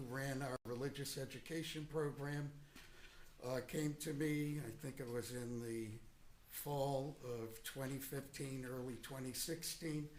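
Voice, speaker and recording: Fairly slow, monotone speech from a man with a fairly high pitch, flat intonation and audible room echo. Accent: American. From Boston, Massachusetts. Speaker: retired priest, witness. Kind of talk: courtroom testimony. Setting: courtroom.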